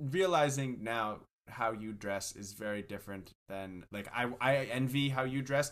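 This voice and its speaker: A man with an ordinary speaking voice talks at a medium pitch and a fairly slow pace, with ordinary pitch variation. His loudness swings widely, and the recording is very clean with a silent background. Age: 20s. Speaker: podcast co-host. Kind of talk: casual chat.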